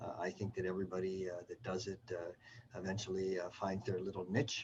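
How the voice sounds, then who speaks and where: A man speaks in a Canadian accent with a dark, mellow tone. His voice is somewhat breathy. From Canada. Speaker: surgeon and professor. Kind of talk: self-introduction. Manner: halting with many fillers.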